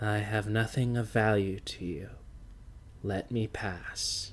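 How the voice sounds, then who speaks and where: Putting on a character voice, a man talks at a fairly slow pace and fairly low pitch with fairly even intonation, with clear background noise present. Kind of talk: calm, unafraid. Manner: slow, steady, tired.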